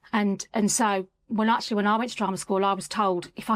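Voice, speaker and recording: A woman talks at a medium pitch in a Birmingham accent. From Birmingham, England. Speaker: communication coach. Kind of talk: podcast interview.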